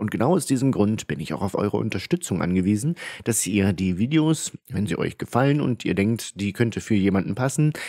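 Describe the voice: A dark, mellow tone with a slightly husky edge, lively intonation, a fairly quick pace and few pauses. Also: man, fairly low pitch for a man.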